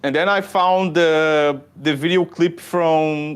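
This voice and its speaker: Against a quiet background, a man talks with a fairly high pitch. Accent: Brazilian. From southern Brazil. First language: Portuguese. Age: 20s. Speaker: shuffle dancer. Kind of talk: podcast interview. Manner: halting, many repetitions and fillers.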